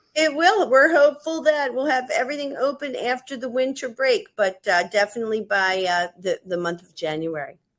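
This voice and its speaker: A woman talks at a high pitch with very wide pitch swings and big shifts in loudness. Her pace is moderate, with hardly any pauses. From United States. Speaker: head of school. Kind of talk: webinar interview.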